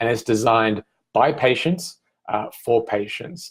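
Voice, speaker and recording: With an Australian accent, the words come out at a fairly slow pace. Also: man. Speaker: migraine patient advocate and event founder. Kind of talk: promotional talk to camera. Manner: hesitant, many fillers.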